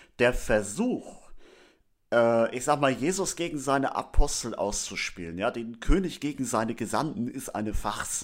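A man's plain, everyday voice at medium pitch, with lively intonation and a moderate pace, on a very clean recording against a silent background. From northern Germany, Schleswig-Holstein. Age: 30s. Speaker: theology student and lay church leader. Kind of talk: religious teaching talk.

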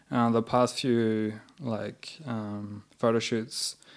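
A man with a New Zealand accent speaks at a very slow pace. His medium-pitched voice keeps fairly even intonation. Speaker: artist and muralist. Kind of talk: casual interview chat. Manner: halting, many fillers.

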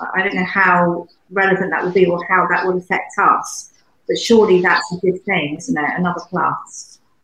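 Speaking with a British accent, a woman uses a medium pitch. Her intonation is monotone and flat. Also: moderate pace. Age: 80s+. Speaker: UK correspondent. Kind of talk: casual panel chat.

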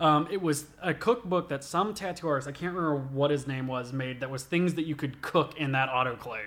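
A man with a normal speaking voice talks at a fairly quick pace with hardly any pauses, his fairly high pitch showing ordinary variation. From US South, southwest Georgia (Albany area). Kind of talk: casual chat. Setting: studio, eating pizza while recording.

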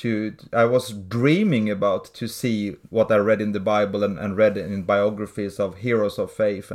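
Against a quiet background, a man with a Swedish accent speaks at a fairly slow pace. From Sweden. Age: 40s. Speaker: pastor and church planter. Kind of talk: interview.

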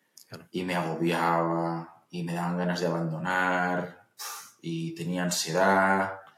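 A man talks very slowly in a very deep, low voice with a flat monotone. Audible room echo surrounds the recording. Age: 30s. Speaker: entrepreneur and investor. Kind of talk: interview.

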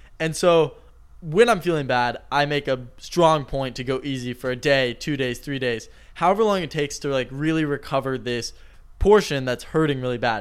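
A man with a plain, everyday voice, fairly high in pitch with ordinary variation, at a moderate pace on a very clean recording with a silent background. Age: 20s. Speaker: podcast co-host and YouTuber. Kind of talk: casual chat.

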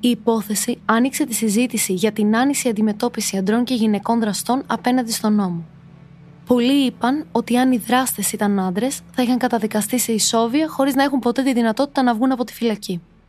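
With music in the background, a woman with a fairly high pitch talks at a fairly quick pace in a serious tone. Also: ordinary pitch variation. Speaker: true crime podcast narrator. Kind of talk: true-crime narration, scripted, read from a prepared text. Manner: steady, serious storytelling, measured and suspenseful.

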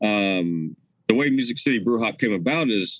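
A man with an American accent speaks at a moderate pace. His pitch is fairly low, with ordinary pitch variation. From US South, Nashville, Tennessee. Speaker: brewery tour founder. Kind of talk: casual interview chat. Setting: video call.

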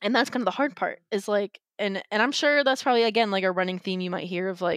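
A woman with an American accent and an ordinary speaking voice, medium in pitch, at a fairly quick pace, in a very clean recording with a silent background and a dry, close sound with no echo. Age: 20s. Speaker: podcast guest sharing life story. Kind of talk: personal testimony interview.

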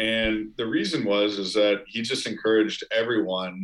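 At a fairly slow pace, a man talks in an ordinary speaking voice pitched fairly low. The recording is very clean, with a silent background. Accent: American. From US Midwest, Chicago suburbs. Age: 20s. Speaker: startup founder. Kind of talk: casual interview.

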